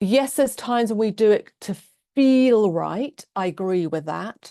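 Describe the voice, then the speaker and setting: A woman speaks with a British accent. Her tone is dark and mellow. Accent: very British. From England. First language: Norwegian. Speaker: love coach and transformational therapist. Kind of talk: online class / webinar talk.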